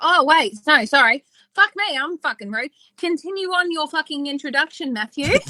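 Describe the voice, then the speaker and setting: A woman with an Australian accent speaks in a raised, projected voice, high-pitched and full of lively intonation. Her pace is moderate, and the sound is dry and close with no echo. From Western Australia. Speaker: podcast co-host. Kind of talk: casual chat.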